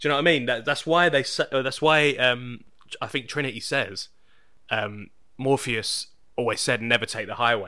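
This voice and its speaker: A man with a British accent talks at a medium pitch and moderate pace in a bright, sharp tone with ordinary pitch variation, recorded very cleanly against a silent background. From Britain. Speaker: podcast host. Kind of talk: casual chat. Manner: halting.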